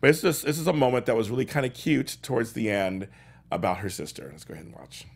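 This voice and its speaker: A man's very fast, animated speech at a medium pitch, with lively intonation, big swings in loudness and vocal fry. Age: 40s. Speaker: talk show host. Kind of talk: casual chat. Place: studio.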